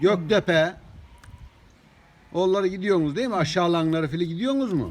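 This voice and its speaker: Against noticeable background noise, a man with a high pitch speaks with long, frequent pauses. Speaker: former village headman. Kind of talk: casual conversation.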